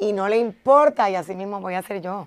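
Her tone animated, a woman talks at a medium pitch. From Puerto Rico, Caguas; Puerto Rico. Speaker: entertainment reporter. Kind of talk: casual interview. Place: studio.

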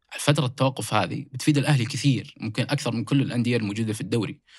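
A man speaks at a very fast pace in a somewhat breathy voice at medium pitch, with ordinary pitch variation. The recording is very clean, with a silent background. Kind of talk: casual sports discussion.

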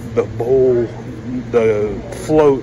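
This is a man speaking. Noticeable noise runs in the background. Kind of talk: tutorial. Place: workshop. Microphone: phone near.

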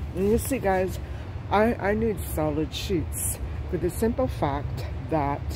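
A voice speaking at a fairly slow pace. Noticeable background noise sits behind it. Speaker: shopping vlogger. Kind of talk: casual vlog chat. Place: shop. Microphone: phone near.

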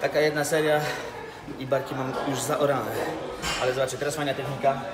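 A man speaks at a very fast pace. Clear music plays behind him. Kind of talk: casual workout vlog tutorial. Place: gym.

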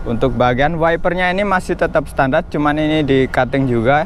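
A man at a moderate pace, ordinary pitch variation, a dry sound with no echo, and light background noise. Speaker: car reviewer. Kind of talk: commentary. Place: street. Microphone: phone near.

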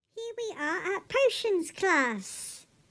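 The speaker uses a cartoonish character voice at a very slow pace. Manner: playful, commentator-like.

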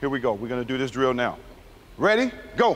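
A man talks at a fairly quick pace. Light background noise is present. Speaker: basketball coach. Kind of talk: coaching instructions. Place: hall.

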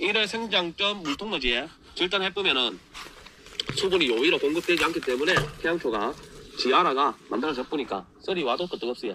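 This man has a high pitch and a Gyeongsang accent. He talks at a fairly quick pace with lively intonation over noticeable background noise. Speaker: farmer, agricultural company head. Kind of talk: farming how-to talk to camera. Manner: casual, folksy. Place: farm. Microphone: phone near.

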